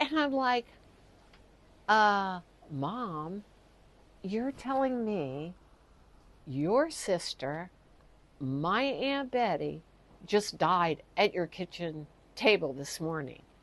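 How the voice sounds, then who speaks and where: A woman with an American accent and a medium pitch speaks at a very slow pace. Her pitch swings very widely, broken by long, frequent pauses. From US South, Texas and Louisiana. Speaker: storyteller. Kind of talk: personal storytelling.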